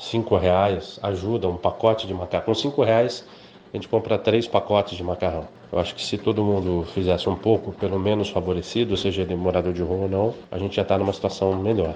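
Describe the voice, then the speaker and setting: Using fairly even intonation, a man speaks at a fairly quick pace in a fairly low, dark, mellow voice. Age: 40s. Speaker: journalist and radio broadcaster. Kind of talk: interview testimony.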